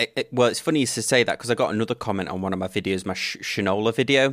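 Recorded very cleanly with a silent background and a dry, close sound with no echo, a man speaks with ordinary pitch variation. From England. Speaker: podcast host. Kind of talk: casual chat.

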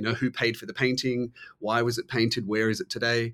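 A man's medium-pitched, monotone, flat delivery in an Australian accent at a fairly quick pace. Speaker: author and art historian. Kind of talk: interview. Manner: halting, many fillers.

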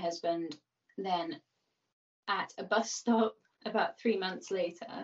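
Speaking at a very slow pace with a Birmingham accent, a woman at a medium pitch shows ordinary pitch variation. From Birmingham, England. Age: 30s. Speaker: person in addiction recovery. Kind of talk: casual interview. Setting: video call.

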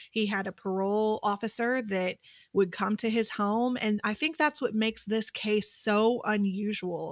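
A woman has a normal speaking voice, pitched fairly high with fairly even intonation. She talks at a fairly slow pace, and the sound is dry and close with no echo. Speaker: private investigator. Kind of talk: casual chat.

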